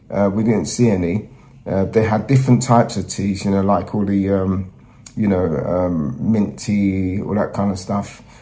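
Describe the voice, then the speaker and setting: In a room with audible echo, a man with a fairly low pitch and a dark, mellow tone speaks with fairly even intonation. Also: moderate pace. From Nigeria. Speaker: travel presenter. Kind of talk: travel vlog talk to camera.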